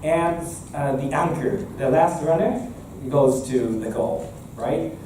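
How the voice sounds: A man speaks at a fairly high pitch and a slow pace, with ordinary pitch variation. Room echo is audible.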